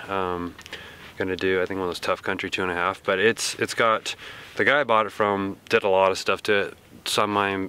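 A man speaks at a very fast pace with a fairly low pitch. The sound is dry with no echo. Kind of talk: interview answer. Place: open country.

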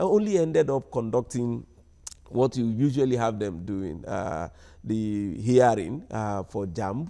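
A man with a dark, mellow tone talks against a quiet background. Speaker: civil society anti-corruption campaigner; guest. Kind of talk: live TV panel discussion. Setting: studio. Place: studio. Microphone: lapel.

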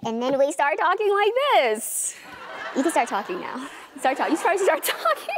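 Squeaky and high-pitched, a put-on character voice moves at a moderate pace over noticeable background noise. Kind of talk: playful demonstration talk. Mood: playful, laughing.

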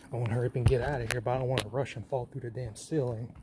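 Noticeable background noise sits behind the voice. A man talks at a very fast pace. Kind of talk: casual vlog chat. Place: empty room. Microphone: phone near.

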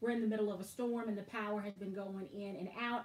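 A woman talks at a moderate pace with ordinary pitch variation. Audible room echo surrounds her voice. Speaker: handbag vlogger. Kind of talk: casual live stream chat. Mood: amused, easygoing. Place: home room. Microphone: webcam.

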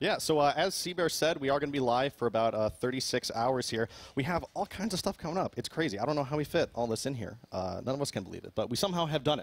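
Talking very fast, a man barely pauses at all. His fairly high voice has lively intonation. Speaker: charity stream host. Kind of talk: event introduction. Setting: live event venue. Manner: excited. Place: studio. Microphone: headset.

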